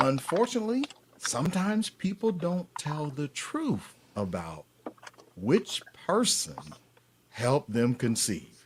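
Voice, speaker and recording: With a Southern US accent, a man with fairly high pitch speaks at a very slow pace, making very wide pitch swings and long, frequent pauses. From US South, Atlanta, Georgia. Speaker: paternity fraud advocate and author. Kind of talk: live stream interview.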